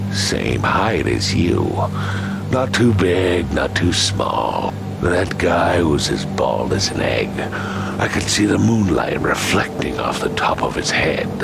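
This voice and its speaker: A man uses a put-on character voice pitched very deep and low. Loud background noise runs behind him. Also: fairly slow pace. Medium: machinima. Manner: curt, gruff.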